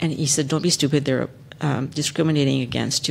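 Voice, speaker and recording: Someone with a Spanish accent talks at a very fast pace. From Texas. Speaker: lawyer, panelist. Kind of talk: panel discussion, personal story. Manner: hesitant, many fillers.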